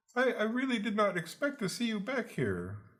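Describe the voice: Someone uses a put-on character voice with a fairly high pitch, moving along at a moderate pace.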